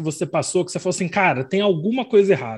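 Against a quiet background, a man speaks with a high pitch and lively intonation. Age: young. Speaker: group member asking questions. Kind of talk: Q&A in online group. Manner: animated.

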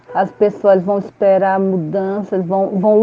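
A very slow pace from a woman, her intonation monotone and flat. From São Luís, Maranhão, Brazil. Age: 50s. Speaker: teacher and pedagogy student. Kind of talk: interview.

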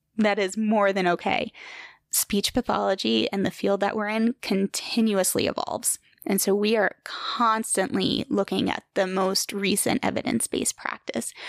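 A woman with an American accent speaks at a moderate pace and medium pitch, her loudness very even, on a very clean recording with a silent background. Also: fairly even intonation, dry, close sound with no echo. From New York, Hudson Valley. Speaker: speech-language pathologist. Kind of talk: casual interview.

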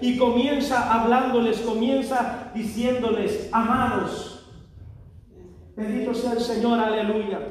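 A man with extremely high pitch, very slow pace and monotone, flat intonation, amid noticeable background noise and audible room echo. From Mexico. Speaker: preacher. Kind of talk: sermon. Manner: fervent, filled with constant interjections.

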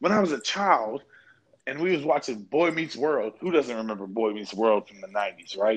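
Speaking at a moderate pace with an American accent, this voice moves through very wide pitch swings and big swings in loudness. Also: man, fairly high pitch for a man. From Kentucky, US. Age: 20s. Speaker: football coach and podcaster. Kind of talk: casual banter, podcast chat. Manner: loose, boastful, joking.

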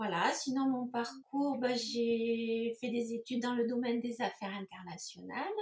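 Over noticeable background noise, a woman talks at a fairly slow pace, her fairly high pitch showing ordinary variation. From southern France, Toulouse area. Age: 50s. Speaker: entrepreneur. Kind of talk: interview. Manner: hesitant, many fillers.

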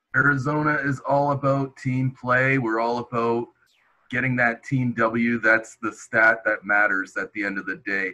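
An unremarkable speaking voice from a man, medium in pitch, with fairly even intonation and a moderate pace. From southern Ontario, Canada. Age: 30s. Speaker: simulation football league player. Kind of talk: casual chat.

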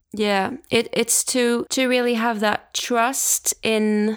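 Speaking with a Swedish accent, a woman uses a fairly high pitch. Her pace is very slow. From Sweden. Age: 20s. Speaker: jazz musician. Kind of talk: interview.

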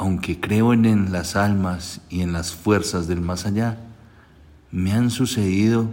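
A man with a very deep, low pitch and a dark, mellow tone speaks at a very slow pace with ordinary pitch variation. Audible room echo surrounds his voice. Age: 40s. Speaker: gravedigger. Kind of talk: storytelling.

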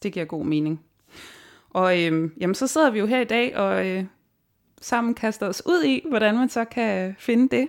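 On a very clean recording with a silent background, a woman at a medium pitch speaks at a fairly slow pace, using very wide pitch swings and long, frequent pauses. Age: 30s. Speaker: podcast host. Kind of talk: podcast interview.

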